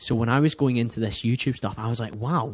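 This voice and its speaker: A man with a Scottish accent speaks at medium pitch and a fairly quick pace. The sound is dry and close with no echo, on a very clean recording with a silent background. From Scotland, near Glasgow. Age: 30s. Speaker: podcast host, guest. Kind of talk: casual interview chat.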